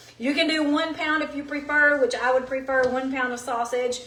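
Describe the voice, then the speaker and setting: A woman's high-pitched voice amid audible room echo and noticeable background noise. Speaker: cooking show host. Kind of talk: live cooking demonstration. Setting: home kitchen. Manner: animated.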